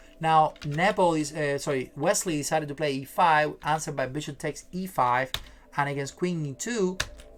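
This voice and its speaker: Over music in the background, a man speaks at a fairly high pitch and a moderate pace, with ordinary pitch variation. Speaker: chess streamer. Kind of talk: live stream chess commentary. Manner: hesitant, many fillers.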